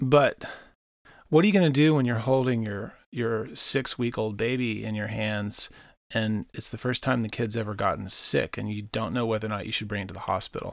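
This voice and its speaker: On a very clean recording with a silent background, a man in an unremarkable speaking voice talks at medium pitch and a moderate pace with ordinary pitch variation. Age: 30s. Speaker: musician and marketing consultant. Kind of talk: casual interview. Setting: in person.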